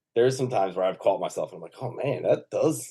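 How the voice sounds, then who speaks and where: This man mumbles his words. His pace is fairly quick. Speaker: podcast guest. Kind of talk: casual chat. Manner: mumbling.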